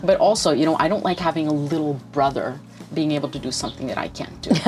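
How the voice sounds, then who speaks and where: Through noticeable background noise, a woman talks at a very fast pace in a very deep, low pitch with ordinary pitch variation. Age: 60s. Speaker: writer and writing teacher. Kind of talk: interview. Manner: hesitant.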